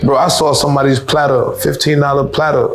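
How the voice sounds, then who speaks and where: A man with a Liberian accent talks at a fairly quick pace. Noticeable background noise and audible room echo fill the recording. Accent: American-tinged Liberian English. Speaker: returnee to Liberia from the US. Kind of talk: casual chat. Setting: in-person sit-down with friends. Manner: animated.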